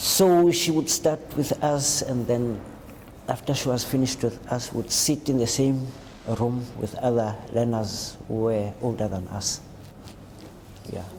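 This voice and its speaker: The speech moves at a fairly slow pace with ordinary pitch variation and long, frequent pauses. Noticeable background noise runs underneath. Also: man, medium pitch for a man. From South Africa, Cape Town. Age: 60s. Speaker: homeless shelter client. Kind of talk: interview testimony. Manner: halting.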